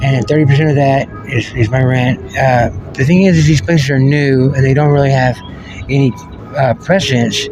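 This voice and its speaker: Music plays behind a man speaking at a moderate pace. His medium-pitched voice shows ordinary pitch variation. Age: 40s. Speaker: homeless military veteran. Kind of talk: interview. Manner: halting.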